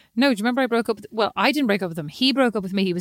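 An animated woman speaks with an Irish accent. The recording is very clean and dry, close with no echo, against a silent background. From Ireland, lived in Kilkenny. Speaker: podcast co-host. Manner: chatty, animated storyteller.

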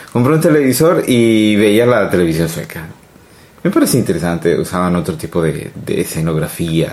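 A man's fairly low voice with very wide pitch swings. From Colombia. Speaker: immigrant interviewee. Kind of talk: casual interview. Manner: halting. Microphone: too quiet.

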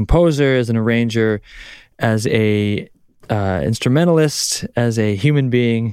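With a Canadian accent, a man speaks at a fairly slow pace in a medium pitch, with ordinary pitch variation and very even loudness on a very clean recording with a silent background. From Canada. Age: 30s. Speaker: guitarist. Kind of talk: casual chat. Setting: studio. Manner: halting.

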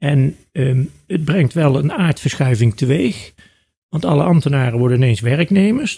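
A man's somewhat breathy voice, fairly high in pitch, with a dark, mellow tone and lively intonation. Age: 60s. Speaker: law professor and lawyer. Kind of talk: interview.

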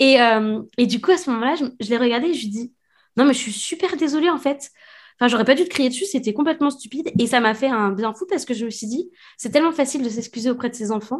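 A woman rattles off words very fast, high in pitch and with lively intonation. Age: 30s. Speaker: author and illustrator. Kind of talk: casual interview. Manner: halting.

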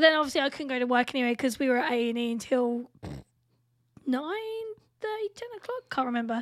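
A high-pitched woman talks at a very fast pace with very wide pitch swings. Long, frequent pauses break up her speech. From England. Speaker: podcast co-host. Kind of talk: casual chat.

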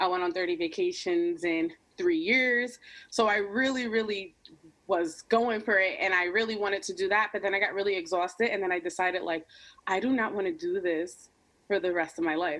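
Fairly quick speech from a woman at medium pitch with ordinary pitch variation, against noticeable background noise. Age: 20s. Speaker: YouTube creator. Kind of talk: casual chat.

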